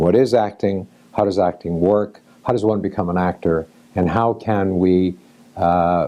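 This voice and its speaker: A man speaks at a fairly slow pace with a very deep, low pitch and fairly even intonation. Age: 60s. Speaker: actor and acting teacher. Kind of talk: storytelling; lecture. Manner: halting.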